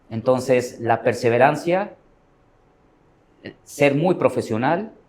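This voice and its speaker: A man with a medium pitch speaks at a very slow pace, using lively intonation. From Mexico. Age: 40s. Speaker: professional trader. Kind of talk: interview.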